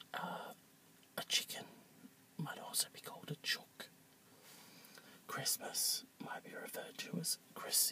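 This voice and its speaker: Someone whispers and mumbles at a fairly slow pace, with long, frequent pauses and noticeable background noise. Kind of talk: ASMR talk to camera. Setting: outdoors. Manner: soft-spoken, mumbled.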